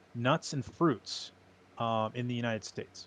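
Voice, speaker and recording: A man's medium-pitched voice at a moderate pace. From US Midwest (Quad Cities, East Moline, Illinois). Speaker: snack company founder, military veteran. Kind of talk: podcast interview.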